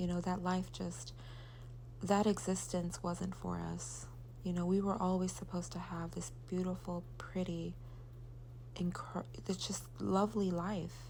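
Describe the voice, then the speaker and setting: Some room echo follows a woman as she speaks rather slowly. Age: 40s. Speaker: mother vlogger. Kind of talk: gratitude monologue. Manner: halting.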